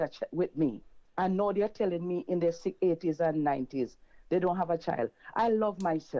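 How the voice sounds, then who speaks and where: Here is a normal speaking voice at a moderate pace. Pitch varies in an ordinary way, and loudness stays very even. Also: woman, fairly low pitch for a woman. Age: 60s. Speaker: caller. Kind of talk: testimony.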